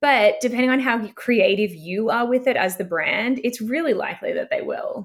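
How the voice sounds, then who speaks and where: Hardly any pauses break up this woman's moderate pace. Her pitch is high, with ordinary variation. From Australia. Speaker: talent agency founder. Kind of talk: podcast interview.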